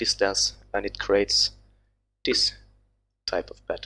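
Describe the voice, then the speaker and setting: A man talks with a Swedish accent. His pace is fairly slow. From Sweden. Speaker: texture artist. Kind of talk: tutorial. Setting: live stream. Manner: halting.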